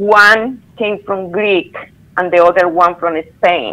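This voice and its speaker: A woman with a strong non-native accent speaks at a fairly slow pace, with ordinary pitch variation. Noticeable background noise runs beneath her. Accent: strong foreign accent in English. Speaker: former theme park employee. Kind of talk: interview testimony.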